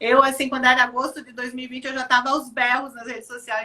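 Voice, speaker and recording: The delivery comes at a fairly quick pace. Intonation stays monotone and flat. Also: woman. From Rio Grande do Sul, southern Brazil. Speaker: children's activity program organizer. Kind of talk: live video chat interview. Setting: online live stream.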